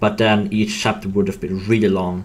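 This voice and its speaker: A man with a non-native accent, fairly low pitch, monotone, flat intonation, and a moderate pace. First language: not English. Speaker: game developer. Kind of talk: casual chat. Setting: live stream. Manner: halting.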